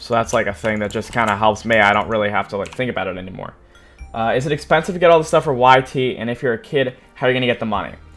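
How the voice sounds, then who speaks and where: The speaker talks at a very fast pace, with music running in the background. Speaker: YouTuber. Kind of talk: live Q&A. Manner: casual, many fillers.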